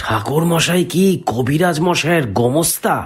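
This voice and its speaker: A raspy, put-on character voice, fairly slow, with lively intonation. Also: man. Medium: read story. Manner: polite, probing.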